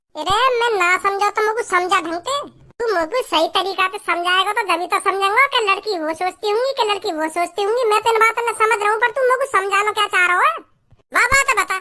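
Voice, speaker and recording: A cartoonish character voice from a woman, extremely high and very fast. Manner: blunt, coarse village speech.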